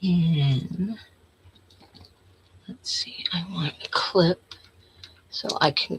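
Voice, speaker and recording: A woman mumbling amid noticeable background noise. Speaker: crafter. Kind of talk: tutorial.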